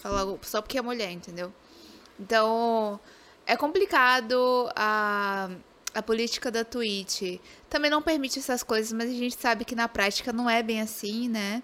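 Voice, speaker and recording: Her tone bright and sharp, a woman talks fairly slowly at a fairly high pitch with ordinary pitch variation. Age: 20s. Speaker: game streamer. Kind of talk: casual interview.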